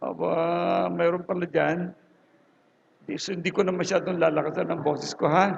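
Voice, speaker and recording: A man's high voice, monotone and flat, at a moderate pace with long, frequent pauses. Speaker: preacher. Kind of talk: sermon. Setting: church with audience and speakers. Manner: casual, halting. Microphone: low quality recording.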